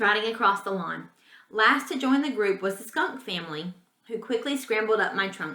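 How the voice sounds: The natural reading voice shows ordinary variation in pitch.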